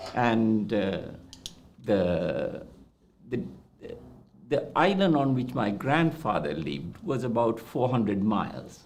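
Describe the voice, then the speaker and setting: With a Maldivian accent, a man speaks at a very slow pace and medium pitch, using long, frequent pauses and very wide pitch swings, with audible room echo. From Maldives. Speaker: doctor. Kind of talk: interview. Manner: halting.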